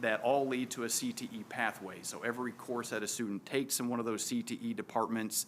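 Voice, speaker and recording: A man speaks at a fairly quick pace in a medium pitch, with noticeable background noise. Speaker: school administrator presenting to board. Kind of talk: board meeting presentation. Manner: fast; many filler words (um, uh).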